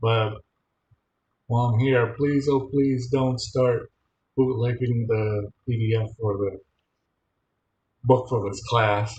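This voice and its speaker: A man with an American accent talks very slowly in a somewhat breathy, monotone, flat voice at a medium pitch, leaving long, frequent pauses. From Michigan. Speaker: college instructor. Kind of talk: online class lecture.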